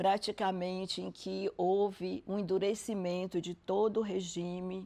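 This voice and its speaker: At a very slow pace, a woman speaks at medium pitch with a dark, mellow tone. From Brazil, Salvador, Bahia. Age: 70s. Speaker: social scientist. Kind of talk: interview.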